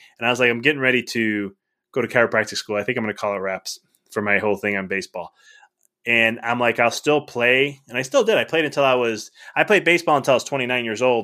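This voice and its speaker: Speaking at a fairly quick pace, a man with an American accent has a plain, everyday voice, a medium pitch and ordinary pitch variation. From Chicago area, Illinois. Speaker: chiropractor turned life coach. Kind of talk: podcast interview.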